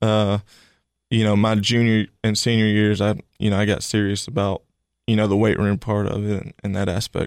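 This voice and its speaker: A man with a Tennessee accent, fairly low-pitched and monotone, at a moderate pace, in a dry, close sound with no echo on a very clean recording with a silent background. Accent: US Southern (Tennessee). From Tennessee, Cookeville. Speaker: college football assistant coach. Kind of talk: interview.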